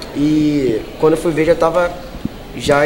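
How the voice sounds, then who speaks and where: In a flat monotone at a fairly high pitch, a man speaks amid noticeable background noise and audible room echo. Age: 20s. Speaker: street musician. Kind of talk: interview.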